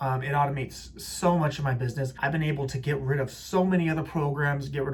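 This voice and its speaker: A man talks very fast in a fairly high voice. His intonation is fairly even, with audible room echo. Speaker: realtor and CRM reviewer. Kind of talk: software review tutorial.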